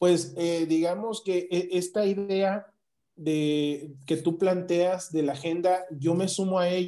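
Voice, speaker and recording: A man speaks at a very slow pace with a high pitch and a dark, mellow tone. His intonation is fairly even and his loudness very even. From Mexico, southeast (Chiapas, Yucatán peninsula) and Querétaro. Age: 30s. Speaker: political candidate. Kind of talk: political interview.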